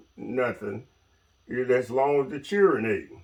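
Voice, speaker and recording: With a Mississippi accent, a man talks at a medium pitch. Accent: Southern US (Mississippi). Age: 70s. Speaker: retired logger. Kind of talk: interview storytelling.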